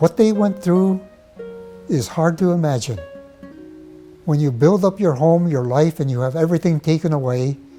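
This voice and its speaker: A man with an American accent speaks at a moderate pace, his fairly high pitch showing ordinary variation. Long, frequent pauses break up his speech, with music in the background. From Portland, Oregon, USA. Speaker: Japanese American incarceration survivor. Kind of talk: interview answer.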